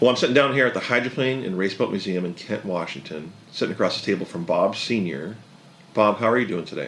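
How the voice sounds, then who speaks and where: Talking at a very fast pace, a man with a fairly low pitch uses lively intonation over noticeable background noise. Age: 40s. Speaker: podcast host. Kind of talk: scripted narration; casual interview. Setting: hydroplane museum.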